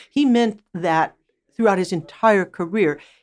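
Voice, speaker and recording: A woman speaks at a moderate pace with an American accent. She has an ordinary speaking voice, on a very clean recording with a silent background. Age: 60s. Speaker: record producer and music professor.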